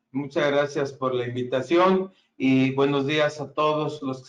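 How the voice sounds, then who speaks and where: At a very slow pace, a man talks in a fairly high pitch. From Mexico. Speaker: engineer, regional sales manager. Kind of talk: webinar presentation. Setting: online webinar. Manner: hesitant with frequent fillers.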